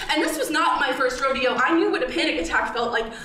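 A raised, projected voice carries lively intonation. Audible room echo and light background noise are present. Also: woman. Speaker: storyteller performer. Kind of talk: personal narrative performance. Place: stage.

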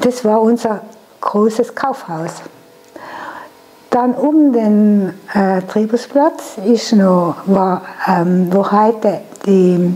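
Over background music, a woman with a South Tyrolean accent speaks very slowly in a fairly high pitch, with ordinary pitch variation, very even loudness, and long, frequent pauses. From Lana, South Tyrol, Italy. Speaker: contemporary witness. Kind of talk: interview answer. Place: home room. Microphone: lapel.

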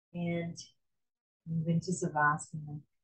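A woman speaks at a very slow pace in a fairly low pitch with a calm, soothing tone. The background is quiet, though room echo is audible. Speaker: yoga instructor. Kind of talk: guided yoga class with meditation. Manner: calm, soothing, slow and gentle, giving cues in a steady rhythm; warm, reverent, spiritual. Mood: calm, gentle. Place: home room. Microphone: video call.

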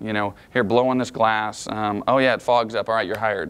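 The intonation of this man's speech is fairly even. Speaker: management trainer. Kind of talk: lecture. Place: meeting room.

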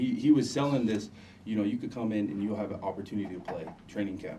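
A man with an American accent talks very fast in a dark, mellow tone, his intonation fairly even over light background noise. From Utah, Salt Lake area. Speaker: former pro football player, recovery coach. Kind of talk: personal testimony in radio interview. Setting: radio studio. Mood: relaxed, reminiscing. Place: studio.

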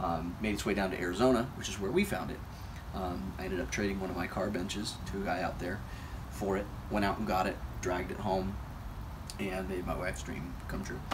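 Noticeable background noise runs under a man speaking at a very deep, low pitch. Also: ordinary pitch variation. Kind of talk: casual walkaround tour. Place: street. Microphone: camera far.

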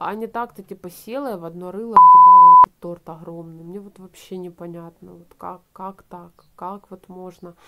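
A woman talks at a moderate pace with hardly any pauses, over noticeable background noise. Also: big swings in loudness. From Ukraine, Donbas; Ukraine. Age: 20s. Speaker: video blogger; vlogger. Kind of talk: casual vlog chat. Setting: at home, drinking tea before bed. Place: home room. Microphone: phone near.

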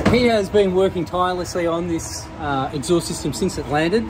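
At a moderate pace, the words come through noticeable background noise. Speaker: vehicle vlogger. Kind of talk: casual vlog chat. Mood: upbeat, enthusiastic. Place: workshop. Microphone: phone near.

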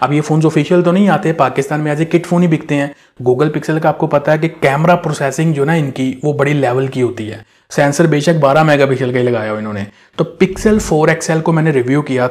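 In a quiet background, a man is heard at a moderate pace. His pitch varies in an ordinary way. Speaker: tech reviewer. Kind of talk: phone recommendation talk to camera. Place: studio. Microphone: lapel.

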